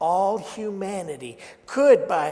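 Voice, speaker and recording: A man talks at a very slow pace with a high pitch and very wide pitch swings. Audible room echo surrounds him. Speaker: minister. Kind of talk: sermon. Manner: loud.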